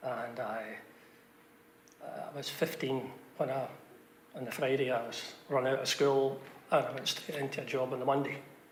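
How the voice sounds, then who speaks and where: A man's medium-pitched, flat, monotone voice with long, frequent pauses, noticeable background noise and audible room echo. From Scotland, Glasgow (Bridgeton). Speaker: village resident sharing memories. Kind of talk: group reminiscence interview. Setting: church.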